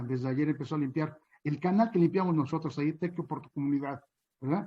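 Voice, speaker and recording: A man talks at a fairly quick pace in a fairly high, somewhat breathy voice. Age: 60s. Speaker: chinampa farmer. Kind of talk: panel talk. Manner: hesitant, many fillers.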